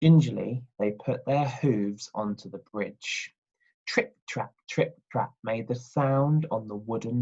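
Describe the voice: Someone reads aloud plainly over quiet surroundings.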